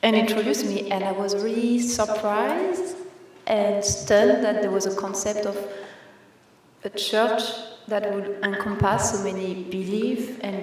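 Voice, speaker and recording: Over noticeable background noise and audible room echo, a woman speaks at a moderate pace with a medium pitch. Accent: strong French. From France. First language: French. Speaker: new church member. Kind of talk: personal testimony at church service. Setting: church.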